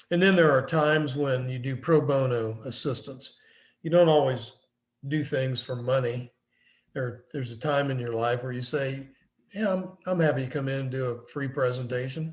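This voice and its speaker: On a very clean recording with a silent background, a man speaks at a moderate pace, somewhat breathy, at medium pitch with ordinary pitch variation. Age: 70s. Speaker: business consultant and professor. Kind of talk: lecture.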